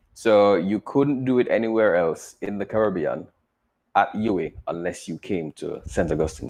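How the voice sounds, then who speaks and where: A man with a Jamaican accent. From Jamaica, Kingston. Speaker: engineer and teacher. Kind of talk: interview.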